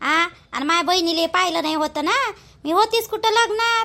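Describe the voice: A woman puts on a cartoonish character voice, extremely high in pitch with a bright, sharp tone. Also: ordinary pitch variation, moderate pace.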